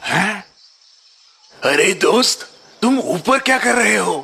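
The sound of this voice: Taking its time at a fairly slow pace, a cartoonish character voice delivers the lines. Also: man, extremely high pitch for a man.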